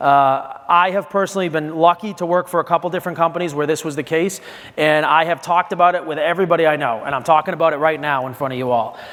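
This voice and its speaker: Against noticeable background noise, a man with a fairly high pitch talks at a very fast pace, with fairly even intonation and hardly any pauses. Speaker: wine and spirits industry speaker. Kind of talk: conference talk. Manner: halting, many fillers and restarts.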